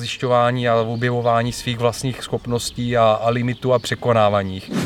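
A man speaks at medium pitch with monotone, flat intonation. Noticeable background noise runs underneath. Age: 40s. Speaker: podcast host. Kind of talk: interview and summary narration. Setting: training venue after a session, video recording.

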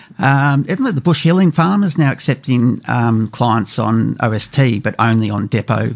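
In an Australian accent, the speaker goes at a fairly slow pace with hardly any pauses and lively intonation. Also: man. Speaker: radio co-host. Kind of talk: casual radio talk show. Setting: studio.

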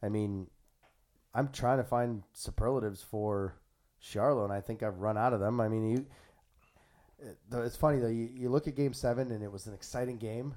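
Fairly quick, medium-pitched male speech in a dark, mellow tone, with fairly even intonation and long, frequent pauses. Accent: Maritime Canadian. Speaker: podcast host. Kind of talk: casual chat. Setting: studio.

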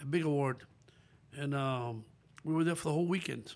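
A man with a Spanish accent, fairly high pitch and ordinary pitch variation. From Dominican Republic, northwest near Haitian border. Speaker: saxophonist and music producer. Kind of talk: casual interview.

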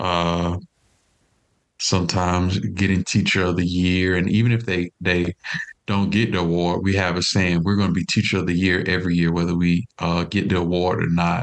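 With an American accent, a man talks at a moderate pace in a very deep, low voice, his loudness very even and his intonation flat and monotone. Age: 30s. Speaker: education professor. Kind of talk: interview.

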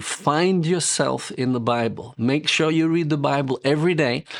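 A man with a British accent, moderate pace and ordinary pitch variation. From England. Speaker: ministry director and author. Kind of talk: interview sharing testimony.

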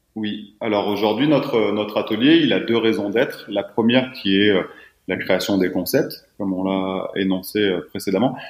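A man with a normal speaking voice talks at a moderate pace. His pitch is fairly low, with ordinary variation. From southeastern France. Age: 30s. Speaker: footwear company founder. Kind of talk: podcast interview.

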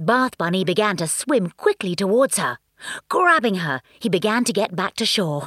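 An unforced reading voice with lively intonation comes through over a quiet background.

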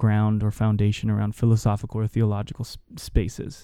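At a fairly quick pace, a man speaks at medium pitch in a dark, mellow tone on a very clean recording with a silent background. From Hawaii (Honolulu, Oahu). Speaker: youth pastor. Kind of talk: casual interview conversation.

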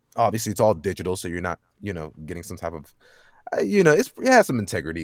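In a dry, close sound with no echo, a man with an American accent speaks at a very fast pace. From Dallas, Texas. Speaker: voice actor. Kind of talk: casual interview chat. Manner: fast talker.

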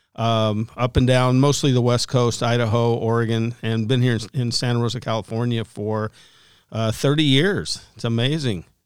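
A man's normal speaking voice at medium pitch, fairly even intonation and moderate pace, on a very clean recording with a silent background. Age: 60s. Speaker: pastor and author. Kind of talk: casual interview chat. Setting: studio.

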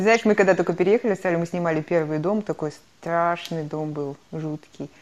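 A plain, everyday voice: a woman's fairly low tones at a moderate pace, with ordinary pitch variation. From Kazakhstan. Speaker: podcast co-host. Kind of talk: casual chat.

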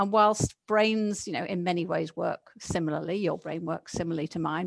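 Against a quiet background, a woman speaks at a medium pitch and a fairly quick pace with fairly even intonation, in a dry, close sound with no echo. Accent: English. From England. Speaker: learning and neuroscience consultant. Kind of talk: casual chat.

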